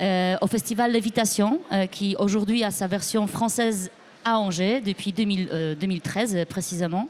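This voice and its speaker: With a Polish accent, a woman talks at a moderate pace in a medium pitch, her pitch varying in an ordinary way. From Poland. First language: Polish (speaking French). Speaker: musician. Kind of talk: interview. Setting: live broadcast from record fair. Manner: halting.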